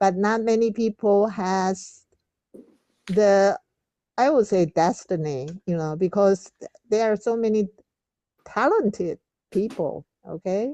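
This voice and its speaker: Very slowly and with long, frequent pauses, a woman speaks in a Taiwanese accent at a medium pitch, her dark, mellow tone showing ordinary pitch variation in a dry, close sound with no echo. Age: 70s. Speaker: reading club leader. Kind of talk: group discussion. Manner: halting.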